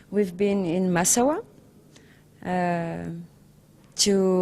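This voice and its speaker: A woman speaks with a French accent. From France. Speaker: documentary filmmaker. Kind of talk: interview. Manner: halting.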